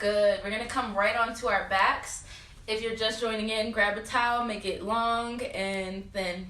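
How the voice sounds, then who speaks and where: A woman speaks at a fairly slow pace with a fairly high pitch and a monotone, flat intonation. Noticeable background noise and audible room echo fill the recording. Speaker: yoga instructor. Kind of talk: guided yoga class. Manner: loud.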